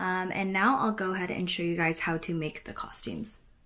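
The speaker is a woman, heard over a quiet background. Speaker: costume tutorial maker. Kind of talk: tutorial. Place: home room. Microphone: phone near.

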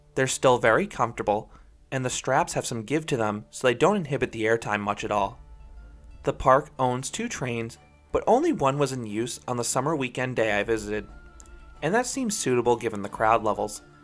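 Over background music, a man talks at a fairly quick pace with ordinary pitch variation. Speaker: coaster reviewer. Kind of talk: review narration.

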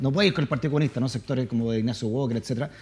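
A man with a Chilean accent, medium in pitch and somewhat breathy. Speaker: talk show host. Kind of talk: interview. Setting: studio. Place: studio. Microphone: lapel.

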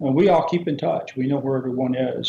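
A man with a normal speaking voice talks at a moderate pace with a fairly high pitch. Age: 60s. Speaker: scouting organisation executive. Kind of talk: interview. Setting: remote call to radio show.

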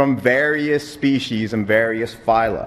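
Over light background noise, a man talks at a fairly slow pace in an unremarkable speaking voice with ordinary pitch variation. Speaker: university program director introducing speaker. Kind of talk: event introduction. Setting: university lecture hall. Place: classroom. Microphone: podium.

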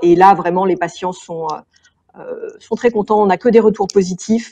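At a moderate pace, a woman speaks with fairly even intonation and a dark, mellow tone. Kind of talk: interview answer. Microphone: earbuds.

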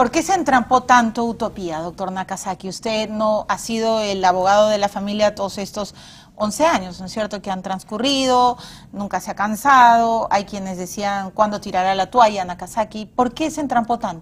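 At a moderate pace, a woman speaks in a somewhat breathy voice with ordinary pitch variation. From Peru. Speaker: TV interviewer. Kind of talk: TV interview. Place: studio.

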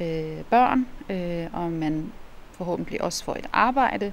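Over light background noise, a woman talks at a very slow pace with ordinary pitch variation. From Iraq. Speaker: politician. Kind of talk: interview. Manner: hesitant. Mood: calm, thoughtful. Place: street.

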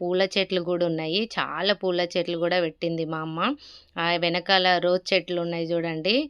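With a Telangana accent, a woman speaks in a fairly low pitch with monotone, flat intonation. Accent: Telangana Telugu. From Telangana, Jangaon district. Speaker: vlogger. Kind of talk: casual vlog walkthrough.

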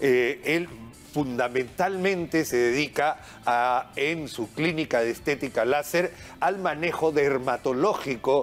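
Very slow in pace, a man speaks with ordinary pitch variation while faint music sits in the background. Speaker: TV show host. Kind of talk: TV program introduction. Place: studio.

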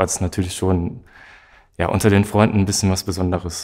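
A man speaks in a monotone with flat intonation against a quiet background. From northwestern Germany, Osnabrück; northwestern Germany. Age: 20s. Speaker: social work student; interviewee. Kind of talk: interview. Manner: hesitant, many fillers. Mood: relaxed, smiling.

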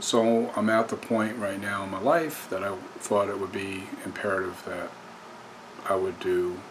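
Speaking at a fairly slow pace, a man with a fairly low pitch is heard over noticeable background noise. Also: ordinary pitch variation. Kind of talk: personal documentary talk to camera. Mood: earnest, somber. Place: home room. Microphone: webcam.

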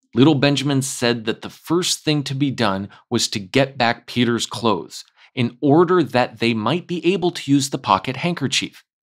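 A man talks in a normal speaking voice at a moderate pace with ordinary pitch variation. The recording is very clean, with a silent background. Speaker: storyteller, read-aloud narrator. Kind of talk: children's storybook reading.

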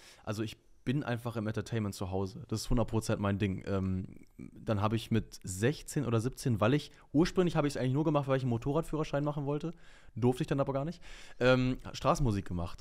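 A man's lively intonation at a fairly quick pace, with a quiet background. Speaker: singer and TV presenter, aspiring voice actor; TV presenter, aspiring voice actor. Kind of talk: casual interview. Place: studio. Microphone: studio mic.

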